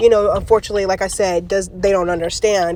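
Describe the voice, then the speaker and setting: An animated tone against noticeable background noise. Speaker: faith and self-help vlogger. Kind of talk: live-streamed motivational talk.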